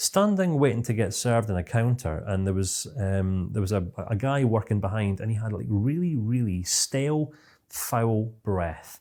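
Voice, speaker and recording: In a Scottish accent, a man with a dark, mellow tone and medium pitch speaks with lively intonation. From Scotland. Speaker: CBT trainer. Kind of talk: online course lecture. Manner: fast.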